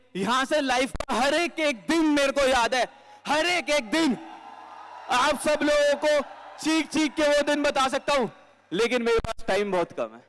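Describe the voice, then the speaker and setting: Behind the man, background noise is noticeable. His voice is extremely high, with ordinary variation in pitch. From Delhi, India. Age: 20s. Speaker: network marketing speaker. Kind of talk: motivational stage talk. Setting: stage with audience.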